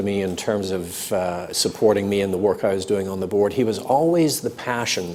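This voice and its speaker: A man at a fairly quick pace with ordinary pitch variation, audible room echo and noticeable background noise. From North London, then Canada as a child. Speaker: business executive. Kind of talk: interview. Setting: live stream before audience at business school.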